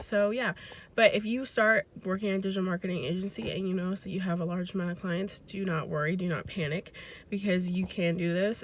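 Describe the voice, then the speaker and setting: At a fairly quick pace, a woman speaks with a medium pitch, a somewhat breathy quality and fairly even intonation. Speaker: digital marketer. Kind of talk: casual talk to camera.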